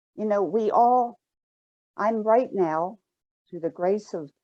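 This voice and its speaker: Over a quiet background, a woman speaks at a fairly slow pace in a dark, mellow tone with lively intonation. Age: 70s. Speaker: shame and guilt educator, counselor, former nurse. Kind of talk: online summit interview.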